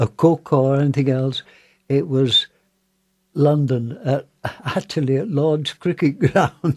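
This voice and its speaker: A man speaks in a Yorkshire accent, somewhat breathy, at a very slow pace with long, frequent pauses. His pitch variation is ordinary, and the sound is dry and close with no echo. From northern England, Wakefield. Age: 90s. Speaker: war veteran. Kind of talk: interview. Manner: halting.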